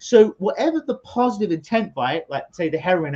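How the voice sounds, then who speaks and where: With a London accent, a man speaks at a moderate pace in a dry, close sound with no echo. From London, England. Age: 40s. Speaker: hypnotherapist. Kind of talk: interview. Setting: video call. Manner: animated.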